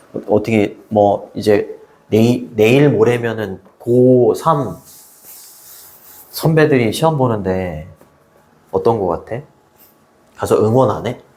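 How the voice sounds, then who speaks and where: A man talks at a very slow pace, leaving long, frequent pauses. His pitch is medium, with ordinary variation. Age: 60s. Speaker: high school English teacher. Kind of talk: casual chat with students. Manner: casual, repetitive.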